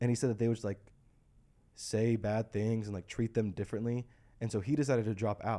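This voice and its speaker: A man with an American accent, medium in pitch, with a dark, mellow tone and a fairly quick pace. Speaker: podcast host. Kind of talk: casual chat.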